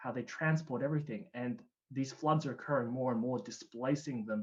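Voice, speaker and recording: A man with an Australian accent sounds somewhat breathy at a fairly high pitch. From Australia (Canberra). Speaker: climate change specialist. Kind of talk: presentation. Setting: online livestream event.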